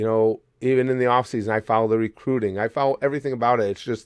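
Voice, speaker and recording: The tone is animated. The background stays quiet. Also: man. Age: 60s. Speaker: sports YouTuber. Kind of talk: opinion vlog. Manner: halting.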